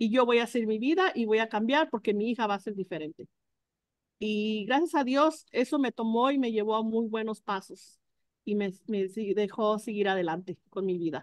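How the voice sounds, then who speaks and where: A woman speaks at a fairly high pitch and moderate pace. The sound is dry with no echo, over a quiet background. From Mexico, Jalisco. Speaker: food truck co-owner. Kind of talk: testimony. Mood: earnest, reflective. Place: kitchen. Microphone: video call.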